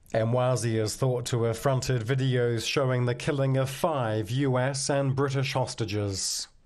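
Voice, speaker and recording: There's a plain, everyday voice here, a man at a medium pitch with fairly even intonation and very even loudness. He keeps a moderate pace with hardly any pauses against a quiet background. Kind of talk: TV news report narration.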